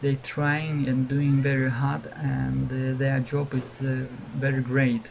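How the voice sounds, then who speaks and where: Very slow speech in a non-native accent with noticeable background noise. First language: not English. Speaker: gaming video creator. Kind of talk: tutorial. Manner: halting, many fillers.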